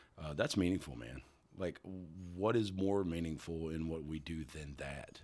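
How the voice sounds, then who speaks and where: A man speaks with a very deep, low pitch and ordinary pitch variation. His loudness swings widely. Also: moderate pace. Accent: Kentucky. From Kentucky. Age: 40s. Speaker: singer-songwriter. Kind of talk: casual chat. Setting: studio.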